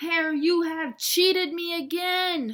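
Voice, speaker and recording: In a put-on character voice, a woman growls at an extremely high pitch and a fairly slow pace. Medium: read story. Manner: slow, drowsy.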